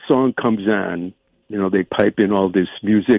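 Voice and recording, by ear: At a fairly slow pace, a man speaks with a fairly low pitch and vocal fry. The recording is dry and close, with no echo.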